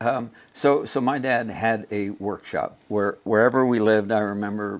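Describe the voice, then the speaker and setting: A man with a General American accent, fairly low in pitch, at a moderate pace with fairly even intonation. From Los Angeles, California. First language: German. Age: 60s. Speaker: leather craftsman. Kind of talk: interview. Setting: studio. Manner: halting, many fillers and repeats.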